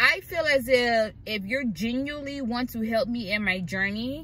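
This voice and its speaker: Over light background noise, a woman's bright, sharp tone comes through dry with no echo. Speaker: vlogger living in her car. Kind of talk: casual vlog chat. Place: car. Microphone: phone near.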